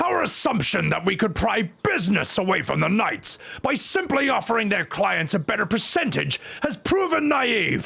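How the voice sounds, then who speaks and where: A man uses a put-on character voice pitched high. He speaks at a moderate pace. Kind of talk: comic overacting. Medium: game stream.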